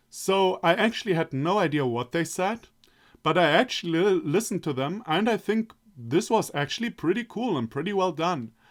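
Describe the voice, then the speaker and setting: Lively intonation at a moderate pace, in a very clean recording against a silent background. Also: man, high pitch for a man. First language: German. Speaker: let's play gamer. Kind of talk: casual commentary to camera. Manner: halting, with many restarts.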